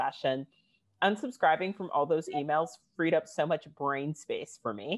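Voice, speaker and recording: In a plain, everyday voice, a woman talks with lively intonation at a moderate pace. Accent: American. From United States. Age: 30s. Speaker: fashion writer and activist. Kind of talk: panel discussion.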